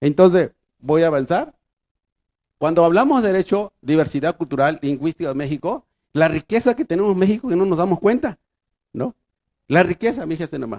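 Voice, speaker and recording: At a high pitch and a fairly quick pace, a man speaks with lively intonation and long, frequent pauses, in a dry, close sound with no echo. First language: Triqui (speaking Spanish). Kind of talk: conference lecture. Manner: halting.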